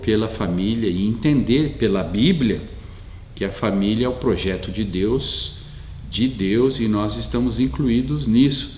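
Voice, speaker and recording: A man's fairly low voice at a very slow pace, with lively intonation and audible room echo. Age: 60s. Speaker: pastor. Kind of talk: sermon. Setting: online church meeting, streamed.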